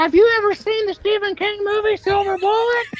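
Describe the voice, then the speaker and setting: This is a put-on character voice, squeaky and extremely high in pitch. It moves at a fairly quick pace. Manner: rambling, fast, nonstop.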